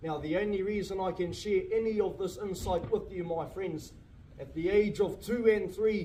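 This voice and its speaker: With audible room echo, a man speaks at a moderate pace in a high pitch, his tone dark and mellow. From New Zealand, Māori community in Te Urewera. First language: Māori. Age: young. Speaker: cultural tour guide. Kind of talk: guided tour talk. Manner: stutters at times.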